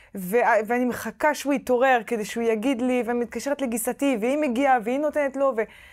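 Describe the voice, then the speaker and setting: Someone with a French accent talks at a moderate pace with ordinary pitch variation against a quiet background. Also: woman. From France. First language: French (speaking Hebrew). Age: 30s. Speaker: novelist; interviewee. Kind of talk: interview; interview answer. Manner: halting. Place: hall. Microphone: lapel.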